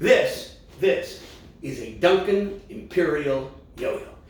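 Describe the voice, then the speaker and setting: A man is speaking over noticeable background noise. His voice carries audible room echo. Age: 60s. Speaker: singer-songwriter and variety show host. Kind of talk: live comedy variety show. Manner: halting, with many ums and restarts.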